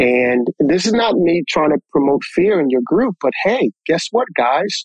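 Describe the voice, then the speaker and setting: A man's high voice with lively intonation, recorded dry and close with no echo. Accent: American. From US Northeast (New Jersey). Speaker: podcast guest. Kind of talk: casual chat.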